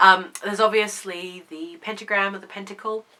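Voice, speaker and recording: A woman speaks over noticeable background noise. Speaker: pagan video host. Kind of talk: casual talk to camera.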